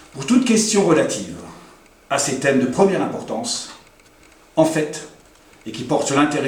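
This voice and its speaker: A man's fairly quick speech with lively intonation, audible room echo and noticeable background noise. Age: 60s. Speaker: local politician. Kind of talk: campaign speech. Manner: formal.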